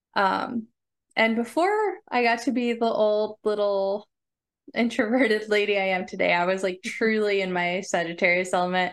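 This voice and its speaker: A woman with an unremarkable speaking voice talks at a moderate pace and medium pitch, her intonation fairly even and her loudness very even, against a quiet background. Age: 30s. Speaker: podcast co-host. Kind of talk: personal storytelling. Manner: frequent fillers and laughs.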